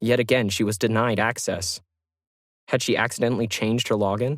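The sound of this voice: A man's fairly low voice at a moderate pace, with fairly even intonation, on a very clean recording with a silent background.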